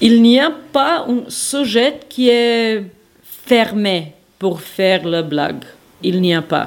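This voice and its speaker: Noticeable background noise accompanies a woman speaking at a medium pitch with lively intonation. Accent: Serbian. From Serbia, Belgrade. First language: Serbian (speaking French). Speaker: soup maker and former journalist. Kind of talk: recorded interview. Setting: market and home kitchen. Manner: halting.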